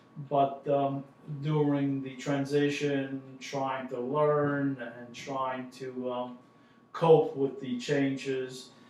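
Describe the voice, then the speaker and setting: Audible room echo surrounds a man with a fairly high voice. He talks at a very slow pace in a monotone with flat intonation. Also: big swings in loudness. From southern Italy, then Westbury, Long Island. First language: Italian. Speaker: family member recounting immigration. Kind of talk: family oral history interview. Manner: halting, many fillers.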